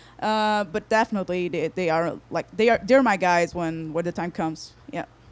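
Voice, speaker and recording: A woman with a Portuguese accent, fairly low in pitch, at a moderate pace. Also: ordinary pitch variation. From Portugal, Porto. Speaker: singer-songwriter. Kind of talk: interview. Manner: halting.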